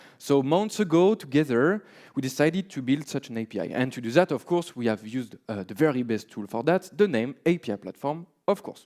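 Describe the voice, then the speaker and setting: A man with a French accent, dark and mellow in tone, with very wide pitch swings and hardly any pauses, in a very clean recording with a silent background and a dry, close sound free of echo. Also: fairly quick pace. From France. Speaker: software developer, conference speaker. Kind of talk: conference talk. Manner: many filler words (uh, um).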